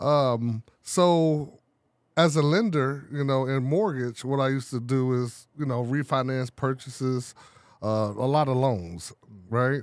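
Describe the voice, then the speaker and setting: A man's plain, everyday voice with an American accent, medium in pitch, fairly slow in pace, with ordinary pitch variation. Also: very clean recording, silent background. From Chicago. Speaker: printing business owner. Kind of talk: casual chat. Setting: studio.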